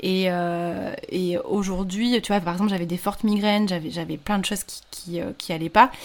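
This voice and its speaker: A woman at medium pitch and moderate pace, with fairly even intonation and hardly any pauses. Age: 30s. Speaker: podcaster and freelancer sharing her infertility story. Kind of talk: casual interview. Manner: hesitant, many fillers.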